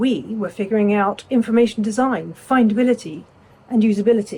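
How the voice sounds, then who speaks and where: With an English accent, a woman speaks at a moderate pace in a somewhat breathy voice, pitched fairly high. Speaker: legal knowledge management consultant. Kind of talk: prepared self-introduction talk.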